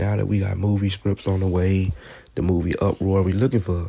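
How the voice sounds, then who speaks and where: Somewhat breathy and dark, mellow in tone, a man speaks at a fairly low pitch and a moderate pace. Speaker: rapper. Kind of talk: casual vlog narration over photos. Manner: soft, gentle.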